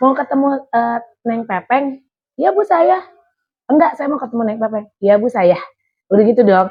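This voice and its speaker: Over music in the background, the speaker keeps a moderate pace with lively intonation and long, frequent pauses. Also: woman, fairly high pitch for a woman. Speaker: radio announcer. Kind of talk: interview. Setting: radio station. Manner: animated.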